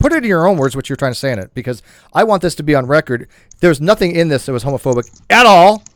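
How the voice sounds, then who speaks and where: Talking at a very fast pace with very wide pitch swings, a man with a fairly high pitch is recorded very cleanly against a silent background, the sound dry and close with no echo. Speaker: live stream host. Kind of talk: casual live stream discussion.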